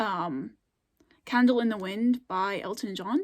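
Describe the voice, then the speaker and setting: A woman with an American accent speaks at a very slow pace in a fairly high voice. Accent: regional accent, comes out more on camera. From US, Scandinavian-settled area of a state. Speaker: YouTuber. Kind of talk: casual vlog chat. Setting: filmed at home late at night. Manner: hesitant, many fillers.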